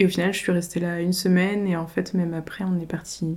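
At a moderate pace, a woman with a fairly low pitch and a dark, mellow tone speaks with monotone, flat intonation. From Paris region (Yvelines), France. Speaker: rural queer collective member. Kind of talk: casual conversation. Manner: hesitant, many fillers.

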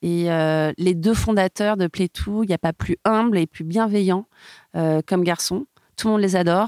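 A woman's medium-pitched voice at a fairly slow pace, dry and close with no echo, on a very clean recording with a silent background. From southern France, Montpellier, then Paris from adolescence. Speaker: music label brand partnerships executive. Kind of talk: interview conversation. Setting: recording studio. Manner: dynamic and enthusiastic.

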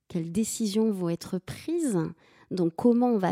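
This woman's fairly high voice has a dark, mellow tone and lively intonation, recorded with a dry, close sound and no echo. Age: 40s. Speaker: business owner, data scientist. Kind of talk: interview. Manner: halting, many repetitions and fillers.

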